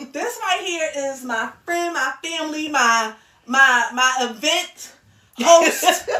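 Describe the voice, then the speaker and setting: Raised and projected, the voice has a bright, sharp tone, lively intonation and big swings in loudness, moving at a very slow pace. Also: woman, high pitch for a woman. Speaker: podcast host. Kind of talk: casual chat.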